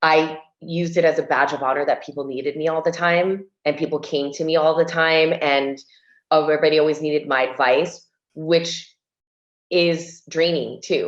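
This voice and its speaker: A woman with an American accent speaks at a moderate pace in a very deep, low voice with flat, monotone intonation. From US, Cuban family. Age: 40s. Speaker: interior designer and TV host. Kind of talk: casual chat.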